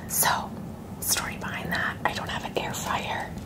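A woman talking at a moderate pace over loud background noise. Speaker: ASMR mukbang creator. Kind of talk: casual talk to camera. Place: home room.

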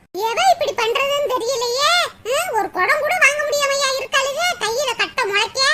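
A woman's cartoonish character voice, extremely high-pitched, at a moderate pace over light background noise. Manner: complaining.

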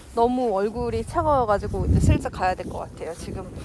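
A woman is heard in a dry recording with no echo, under loud background noise. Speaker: parent vlogger. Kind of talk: casual vlog chat. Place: open country. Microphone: phone near.

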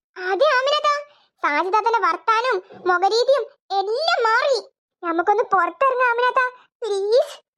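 A woman uses a cartoonish character voice at extremely high pitch, with lively intonation. She goes at a fairly slow pace, her loudness very even.

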